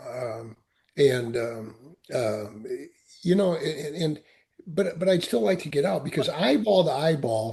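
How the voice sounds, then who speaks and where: Against a quiet background, a man with an American accent speaks at a moderate pace, somewhat breathy, with a dark, mellow tone and lively intonation. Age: 70s. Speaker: Marine veteran and entrepreneur. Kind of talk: podcast interview. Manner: halting, many repetitions.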